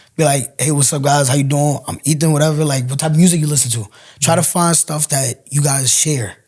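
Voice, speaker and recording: Somewhat breathy and fairly high in pitch, a man talks at a fairly quick pace with fairly even intonation. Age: young. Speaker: first-year college student. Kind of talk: casual interview chat.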